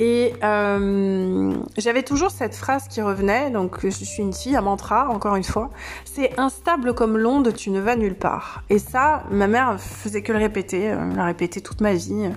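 This woman keeps a moderate pace while noticeable background noise sits behind her. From southern France, Camargue. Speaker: podcast host and life coach. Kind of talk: unscripted solo podcast monologue. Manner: hesitant, many fillers and repetitions.

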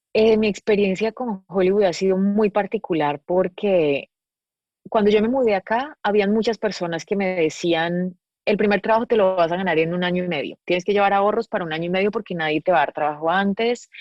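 A woman speaks at a fairly quick pace in a plain, everyday voice, her medium pitch showing ordinary variation. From Colombia, Medellín. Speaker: actress and producer. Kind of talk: casual interview chat.

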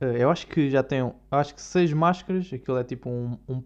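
Against a quiet background, a man with a European Portuguese accent speaks fairly slowly in an animated tone with ordinary pitch variation. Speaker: video blogger. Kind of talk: casual monologue.

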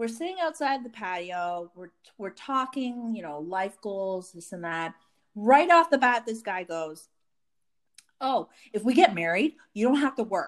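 In a very clean recording with a silent background, a woman speaks fairly slowly at a fairly high pitch, with very wide pitch swings and big swings in loudness. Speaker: podcast co-host. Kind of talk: casual chat. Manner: talkative.

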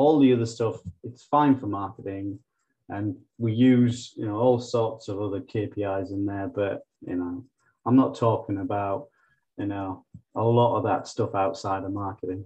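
A man's somewhat breathy, fairly low voice at a moderate pace, with ordinary pitch variation. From northeast England. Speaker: marketing operations director. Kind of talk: interview.

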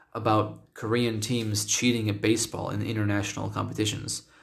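Vocal fry marks a man's fairly low voice as he speaks at a moderate pace amid audible room echo. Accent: American. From United States. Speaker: podcast host and English teacher. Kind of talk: solo podcast monologue. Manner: casual, with filler words.

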